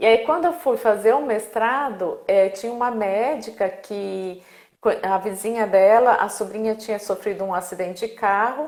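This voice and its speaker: With ordinary pitch variation, a plain, everyday voice talks at a moderate speed. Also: woman, fairly high pitch for a woman. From Brazil. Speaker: speech therapist. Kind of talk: casual interview. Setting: live video stream.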